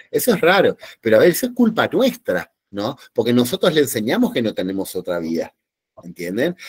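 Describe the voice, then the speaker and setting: Vocal fry marks a man's fairly high voice, which has very wide pitch swings at a moderate pace. The recording is dry and close, with no echo. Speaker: psychologist giving a talk. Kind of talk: lecture. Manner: animated, with many fillers.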